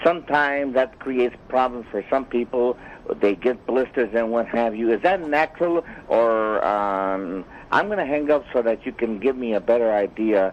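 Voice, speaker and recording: A man talks at a moderate pace in a normal speaking voice, with ordinary pitch variation. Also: medium pitch for a man. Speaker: caller. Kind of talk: phone call-in question.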